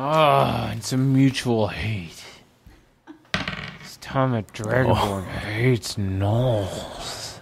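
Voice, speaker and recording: At a very slow pace, a man puts on a character voice at medium pitch. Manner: angry, gruff, hateful.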